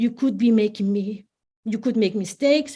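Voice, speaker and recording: A woman speaks with a Spanish accent in a dark, mellow tone. The background is quiet. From Spain. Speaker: family law solicitor and divorce coach. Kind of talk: online presentation. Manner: halting with some self-corrections.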